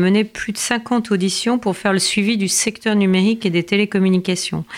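A woman speaks at a fairly quick pace with fairly even intonation. Noticeable background noise sits behind her. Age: 50s. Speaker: member of parliament. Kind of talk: interview.

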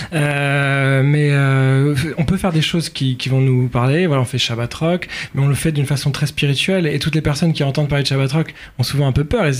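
Here a man at a fairly high pitch has an unremarkable speaking voice and a fairly quick pace. His intonation is fairly even, and his loudness is very even. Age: 30s. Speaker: rabbinical student. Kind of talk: radio interview.

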